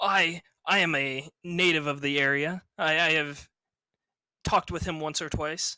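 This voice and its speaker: A put-on character voice at middle pitch and moderate pace, on a very clean recording with a silent background. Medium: actual play. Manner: hesitant, stammering.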